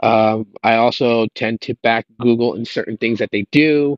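The man's intonation is fairly even, and the background is quiet. The sound is dry with no echo. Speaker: tech YouTuber. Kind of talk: casual vlog chat. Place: garden. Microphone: earbuds.

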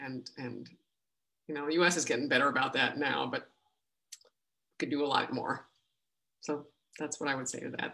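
At a fairly quick pace broken by long, frequent pauses, a woman speaks in a very deep, low voice with vocal fry and a bright, sharp tone. Her intonation is fairly even, and the background is quiet. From Latin America, USA, North Africa. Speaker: actor and audiobook narrator. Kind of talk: audience Q&A answer. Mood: warm, reflective. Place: home room. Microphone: video call.

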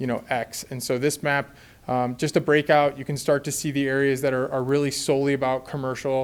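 A man's medium-pitched voice at a very fast pace. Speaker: urban planning consultant. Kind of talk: presentation to city council.

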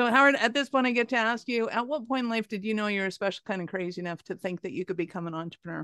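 With a fairly bright tone and medium pitch, a woman speaks at a fast pace using fairly even intonation.

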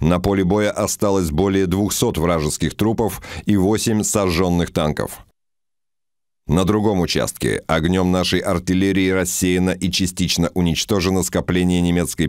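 On a very clean recording with a silent background, a man speaks in a solemn tone at a very deep, low pitch, fairly slowly, with fairly even intonation and very even loudness. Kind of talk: wartime history narration. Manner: solemn, measured, newsreel-style delivery; formal, clipped, dispassionate.

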